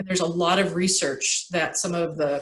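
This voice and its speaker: A woman speaks in an unremarkable speaking voice at medium pitch, with ordinary pitch variation and a moderate pace. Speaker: urban refuge coordinator. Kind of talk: presentation and discussion in board meeting.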